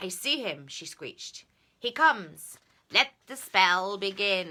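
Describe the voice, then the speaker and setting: A female-sounding put-on character voice comes across as shrill at a medium pitch. It moves at a fairly slow pace. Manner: screeching.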